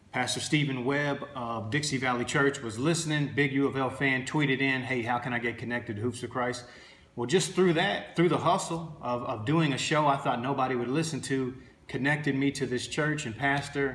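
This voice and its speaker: Audible room echo surrounds a man speaking at a moderate pace with fairly even intonation. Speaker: basketball trainer. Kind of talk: casual vlog chat. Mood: earnest, motivational. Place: home room. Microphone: phone near.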